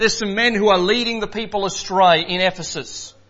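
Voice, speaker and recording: A man speaks loudly. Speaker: preacher. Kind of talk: sermon. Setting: church.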